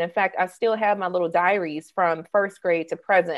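An unremarkable speaking voice from a woman with an American accent, medium in pitch with fairly even intonation. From US South, Mississippi (Jackson suburb). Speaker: copywriter and entrepreneur. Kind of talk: interview conversation.

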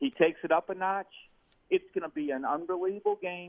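The man's pitch swings very widely as he talks at a moderate pace. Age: 60s. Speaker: caller. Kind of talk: sports call-in chat. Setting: phone call.

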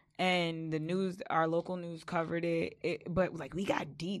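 A woman of fairly low pitch with an American accent. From Long Island, New York (West Babylon). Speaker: event organizer and show host. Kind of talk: casual interview chat.

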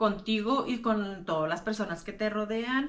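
Speaking at a fairly slow pace, a woman has a plain, everyday voice. Her pitch is fairly high and her intonation lively. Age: 30s. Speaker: podcaster sharing lived experience of mental illness. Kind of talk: personal talk to camera.

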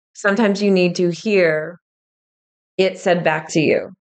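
Medium pitch from a woman speaking. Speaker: podcast host and spiritual medium. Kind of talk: solo podcast teaching talk. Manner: slow.

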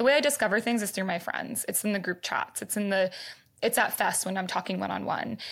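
A woman at medium pitch talking at a very fast pace, with an enthusiastic, animated tone, vocal fry and ordinary pitch variation, on a very clean recording with a silent background. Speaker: startup founder. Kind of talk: casual interview chat.

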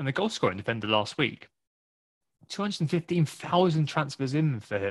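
Somewhat breathy and fairly high in pitch, a man speaks at a fairly quick pace with very wide pitch swings, in a dry, close sound with no echo. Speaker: podcast host. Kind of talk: casual chat about fantasy football.

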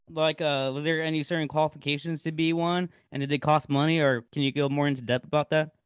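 A man with an American accent talks at a very fast pace in a flat monotone. He leaves hardly any pauses. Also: fairly high pitch for a man. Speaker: podcast host. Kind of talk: casual interview. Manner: casual, filler-heavy.

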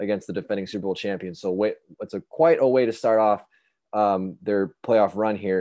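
Dark, mellow male voice at a fairly quick pace. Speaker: podcast co-host. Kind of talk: casual sports banter podcast.

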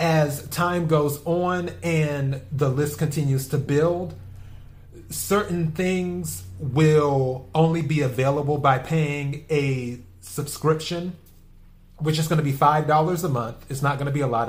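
A man speaks with a somewhat breathy voice. His pitch is fairly high, with ordinary variation. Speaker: podcast host. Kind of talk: solo podcast monologue. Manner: rambling, repetitive.

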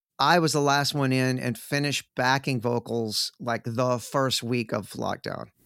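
A man with an American accent and a normal speaking voice speaks at medium pitch and a fairly slow pace, with hardly any pauses. His intonation is fairly even, and the sound is dry and close with no echo. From Texas (Sherman, north Texas). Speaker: rock guitarist. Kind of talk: casual chat.

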